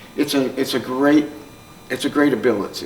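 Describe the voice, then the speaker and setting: Talking at a moderate pace, a man with an American accent has a fairly high pitch. Audible room echo and noticeable background noise are in the recording. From Newark, New Jersey, US. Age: 70s. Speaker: psychologist and trauma counselor. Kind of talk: conference talk.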